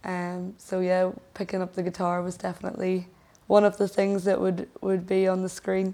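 In a Northern Irish accent, a woman speaks at a moderate pace and medium pitch with a dark, mellow tone and monotone, flat intonation. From Northern Ireland (Lisburn, Fermanagh). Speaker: musician. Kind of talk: casual interview chat. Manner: hesitant, many fillers.

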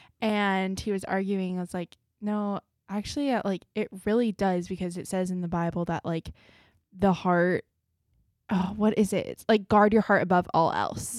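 In a very clean recording with a silent background, a woman with a normal speaking voice talks at a moderate pace and medium pitch with fairly even intonation. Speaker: podcast host. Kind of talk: casual chat.

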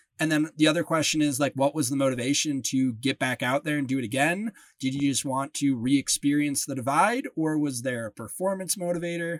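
This man has a Midwestern US accent and a fairly high pitch, with ordinary pitch variation. He talks at a fairly quick pace with hardly any pauses, in a dry, close sound with no echo. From Lake Geneva, Wisconsin. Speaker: podcast host. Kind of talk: casual interview chat.

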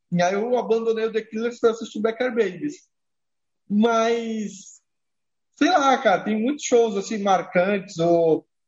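A man talks in a high voice at a fairly slow pace, leaving long, frequent pauses. His pitch varies in an ordinary way. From Brazil, Santos (Baixada Santista, São Paulo coast). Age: 30s. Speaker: music journalist and editor-in-chief. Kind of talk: casual interview chat.

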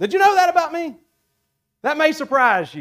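The man talks at a fairly slow pace. His pitch swings very widely. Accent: Southern US. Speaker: preacher. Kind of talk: sermon. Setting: church.

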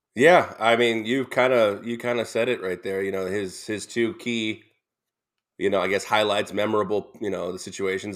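A man talks with a plain, everyday voice at a fairly quick pace and fairly even intonation. The recording is very clean, with a silent background. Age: 30s. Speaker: sports radio co-host. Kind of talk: casual sports talk.

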